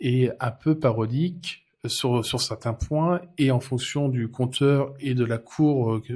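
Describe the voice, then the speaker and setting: The recording is very clean, with a silent background. A man talks very slowly at a medium pitch, somewhat breathy, with fairly even intonation. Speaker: interviewer. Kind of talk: TV interview host.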